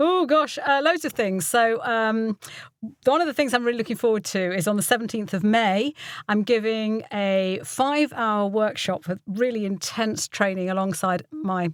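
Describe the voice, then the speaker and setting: A woman with an English Midlands accent and lively intonation, on a very clean recording with a silent background. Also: fairly high pitch for a woman, moderate pace. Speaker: voiceover artist and voice coach. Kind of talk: interview chat.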